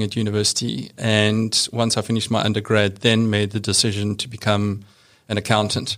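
A man with a fairly low pitch and a South African accent, monotone and flat at a moderate pace, in a very clean recording with a silent background. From rural South Africa. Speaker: bank compliance executive. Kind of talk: interview. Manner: matter-of-fact.

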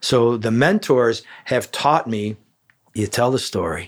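Speaking very slowly with a Chicago accent, a man talks at a medium pitch over a very clean recording with a silent background. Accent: Chicago American. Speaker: chiropractor. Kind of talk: interview. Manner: loud; animated.

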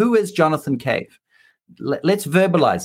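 A man with a New Zealand accent talks at a moderate pace with lively intonation. Vocal fry runs through his voice. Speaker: leadership coach. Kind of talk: interview.

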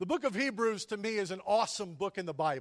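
With an American accent, a man talks at a fairly quick pace in a high pitch, the sound dry and close with no echo. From Texas (Whitney, then Pampa in the Panhandle). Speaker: pastor. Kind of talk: sermon. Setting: church.

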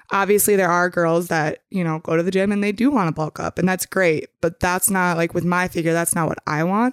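In a plain, everyday voice with an American accent, a woman talks at a fairly quick pace with hardly any pauses, fairly low pitch and fairly even intonation, in a very clean recording with a silent background and a dry, close sound with no echo. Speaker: podcast guest, younger sister. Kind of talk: casual chat.

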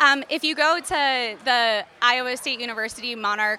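A woman in an American accent with a plain, everyday voice, fairly high pitch and ordinary pitch variation. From Philadelphia. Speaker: entomologist. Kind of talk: interview.

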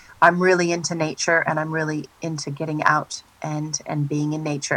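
A woman with an American accent, very deep and low in pitch, with a bright, sharp tone at a moderate pace. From US Pacific Northwest, Oregon. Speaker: singer. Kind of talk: casual interview.

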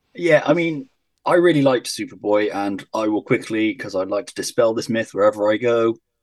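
A man talks at a fairly quick pace with lively intonation. His is a plain, everyday voice at a medium pitch. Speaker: podcaster. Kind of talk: casual chat.

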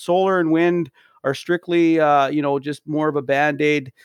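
A man with a plain, everyday voice speaks in a Canadian accent at a moderate pace, his pitch fairly high and his intonation fairly even. The recording is very clean, dry and close with no echo, and the background is silent. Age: 40s. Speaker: podcast co-host. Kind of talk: casual chat.

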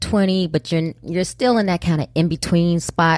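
In a very clean recording with a silent background and a dry, close sound with no echo, a woman with a fairly low pitch speaks at a moderate pace in a plain, everyday voice. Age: 40s. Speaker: Navy veteran and podcaster. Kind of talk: casual interview conversation. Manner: confident, assertive.

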